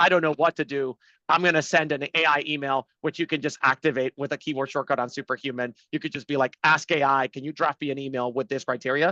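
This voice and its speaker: Over a quiet background, a man with a fairly high pitch and a bright, sharp tone talks at a very fast pace with hardly any pauses and fairly even intonation, the sound dry and close with no echo. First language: not English. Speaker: startup CEO. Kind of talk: webinar interview.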